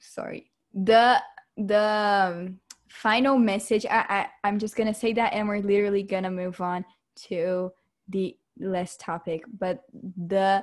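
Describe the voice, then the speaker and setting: In a very clean recording with a silent background, a woman speaks at a medium pitch and a very slow pace with ordinary pitch variation. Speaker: podcast co-host. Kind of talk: casual chat.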